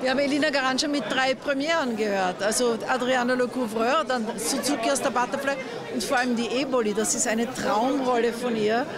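Crowd noise runs behind a woman talking at a fairly quick pace. The sound is dry, with no echo. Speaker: event host giving a short interview. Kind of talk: interview answer. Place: street.

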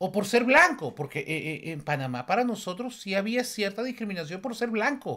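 A man speaks in a raised, projected voice at a moderate pace, his high pitch swinging very widely, with a bright, sharp tone and hardly any pauses. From Venezuela. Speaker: YouTuber commentator. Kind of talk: video commentary. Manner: repetitive stammering. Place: home room.

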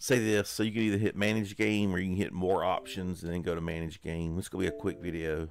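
In a Southern US accent, a man with a very deep, low pitch talks at a very fast pace with hardly any pauses and fairly even intonation, on a very clean recording with a silent background. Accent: Southern US rural. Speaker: gaming YouTuber. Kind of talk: screen-recorded tutorial walkthrough. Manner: casual, hesitant.

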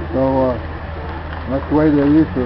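Noticeable noise sits behind a man's voice. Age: 80s+. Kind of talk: storytelling interview. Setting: outdoors, background music and noise. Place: open country. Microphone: phone near.

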